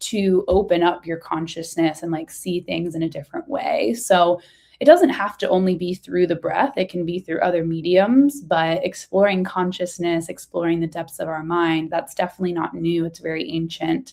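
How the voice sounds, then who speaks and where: A woman's fairly low voice at a moderate pace, with hardly any pauses. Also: ordinary pitch variation. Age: 30s. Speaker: breathwork coach and business founder. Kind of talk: interview. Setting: video call.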